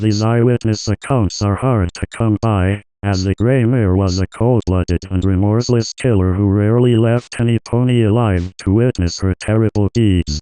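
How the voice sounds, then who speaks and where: At a moderate pace, the voice sounds dry and close with no echo, its loudness very even and its intonation fairly even. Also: man, fairly low pitch for a man. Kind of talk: historical documentary narration. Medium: read story. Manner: measured, solemn.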